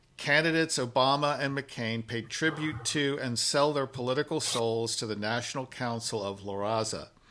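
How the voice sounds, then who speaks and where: A man with an ordinary speaking voice talks at a fairly slow pace and medium pitch. His pitch varies in an ordinary way against a quiet background. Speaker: podcast host, executive director of policy institute. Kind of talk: podcast interview host.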